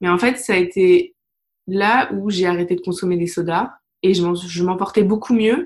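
At a fairly slow pace, a woman talks in an unremarkable speaking voice at a medium pitch. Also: fairly even intonation. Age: 30s. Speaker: holistic therapist and digital project manager. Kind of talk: interview testimony.

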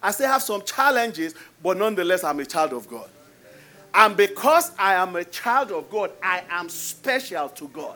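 With a Nigerian accent, a man in a raised, projected voice makes very wide pitch swings at a high pitch with a bright, sharp tone. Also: big swings in loudness. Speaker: pastor. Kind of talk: sermon. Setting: church with congregation.

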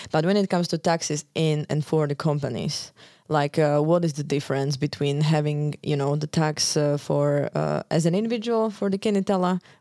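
In a dry, close recording with no echo, a woman with a Slovak accent talks at a moderate pace with a very deep, low pitch, a dark, mellow tone, very even loudness and ordinary pitch variation. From Slovakia. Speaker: podcast host. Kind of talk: interview. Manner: hesitant, many fillers.

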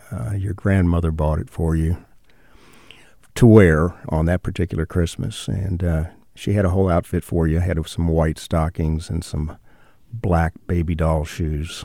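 The voice has a dark, mellow tone, a fairly slow pace and fairly even intonation. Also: man, very deep, low pitch for a man. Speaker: father of the host, interviewee. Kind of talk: casual phone interview, recounting family story.

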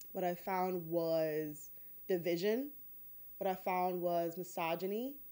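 Speaking at a very slow pace, a woman uses a dark, mellow tone and a fairly low pitch, with ordinary pitch variation and very even loudness. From Detroit, US Midwest. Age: 30s. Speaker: podcast host. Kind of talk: personal storytelling monologue.

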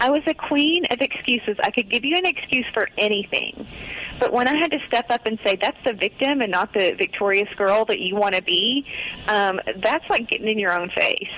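With noticeable background noise behind her, a woman talks at a moderate pace in a fairly high voice, with lively intonation and very even loudness. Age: 40s. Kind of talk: casual interview.

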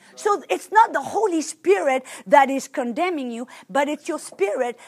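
A woman speaks with a French accent. Her pitch swings very widely. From France. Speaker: preacher. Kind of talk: sermon.

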